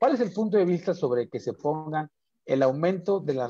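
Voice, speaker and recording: A man's dark, mellow voice with lively intonation, dry with no echo, over a quiet background. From Mexico, Chiapas. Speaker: talk show host; program host. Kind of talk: interview. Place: home room. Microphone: video call.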